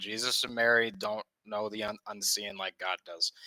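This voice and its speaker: A man with a Midwestern American accent speaks at a moderate pace in a fairly low pitch, his tone bright and sharp, on a very clean recording with a silent background. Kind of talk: debate.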